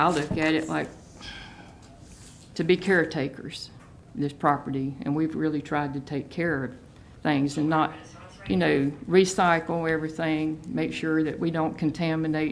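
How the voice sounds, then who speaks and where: Fairly slow and full of long, frequent pauses, a woman's very deep, low voice carries a Southern US accent and fairly even intonation. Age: 60s. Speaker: local resident. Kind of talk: public hearing comment. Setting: county board meeting.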